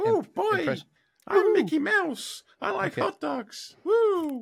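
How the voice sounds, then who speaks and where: This put-on character voice is high-pitched and squeaky, delivered at a very slow pace. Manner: cheerful, playful.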